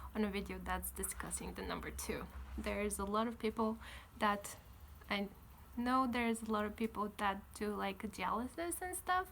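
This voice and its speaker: A woman speaks with a Bulgarian accent. Her pace is moderate. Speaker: vlogger. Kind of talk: casual vlog.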